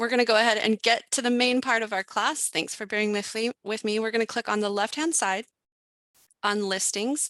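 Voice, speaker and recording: Pitched fairly high, a woman's bright, sharp voice moves at a fairly quick pace with fairly even intonation, sounding dry and close with no echo against a quiet background. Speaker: real estate software trainer. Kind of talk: online class tutorial. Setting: live webinar with chat. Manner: fast; halting, many fillers.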